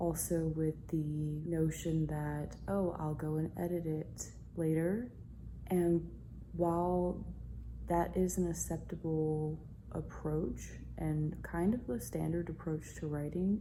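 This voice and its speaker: A woman whispers at a very slow pace. Room echo is audible. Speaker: writing vlogger. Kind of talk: casual vlog monologue. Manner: whispering.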